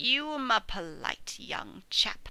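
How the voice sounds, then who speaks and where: This is a put-on character voice. It sounds raspy. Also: woman. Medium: read story. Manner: sour, complaining.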